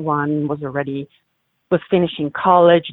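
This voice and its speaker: The speaker has an Italian accent and a fairly slow pace. The intonation is fairly even. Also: woman. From Italy, Milan. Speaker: humanitarian and photographer. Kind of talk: interview.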